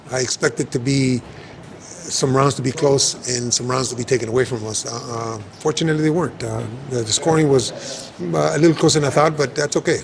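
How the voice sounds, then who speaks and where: At a fairly quick pace, a man with a medium-pitched voice speaks with ordinary pitch variation over noticeable background noise. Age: 70s. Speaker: boxing trainer. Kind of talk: interview.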